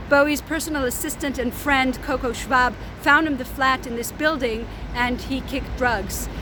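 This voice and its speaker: A woman uses a raised, projected voice with a high pitch and fairly even intonation at a moderate pace. Noticeable background noise and audible room echo surround her. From Israel, Tel Aviv. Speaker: tour guide. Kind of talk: guided tour. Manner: casual with fillers.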